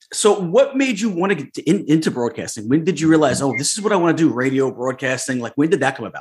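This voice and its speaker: A man's fairly high voice at a very fast pace, with very wide pitch swings and hardly any pauses. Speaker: podcast host. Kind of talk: casual chat. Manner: animated.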